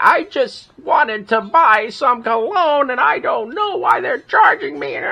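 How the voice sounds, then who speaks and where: At a fairly slow tempo, someone performs in a put-on character voice. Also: man, extremely high pitch for a man. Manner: confused, bewildered.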